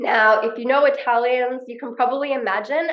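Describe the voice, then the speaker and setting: At a moderate pace, a woman with an Australian accent speaks at a fairly high pitch with ordinary pitch variation. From Australia, Perth. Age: 30s. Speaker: online business coach. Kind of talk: vlog-style talk to camera.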